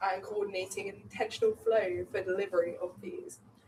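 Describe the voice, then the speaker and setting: Speaking fairly quickly, a woman has an English accent. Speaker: student election candidate. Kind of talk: election hustings speech.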